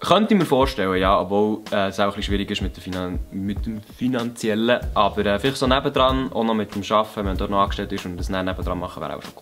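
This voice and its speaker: With a Bernese accent, a man talks at a very fast pace with hardly any pauses, his fairly low pitch showing ordinary variation while music plays in the background. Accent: Bernese Swiss German. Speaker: YouTuber, comedian. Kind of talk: casual talk to camera, Q&A answers.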